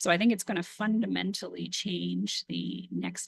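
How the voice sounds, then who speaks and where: In a Canadian accent, someone speaks quietly at a moderate pace. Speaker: council member or municipal official. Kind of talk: council committee meeting discussion. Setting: municipal committee meeting.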